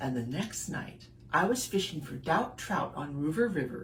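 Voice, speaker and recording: Very wide pitch swings at a fairly slow pace over noticeable background noise. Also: woman. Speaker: burlesque and spoken word performance artist. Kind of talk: children's story reading.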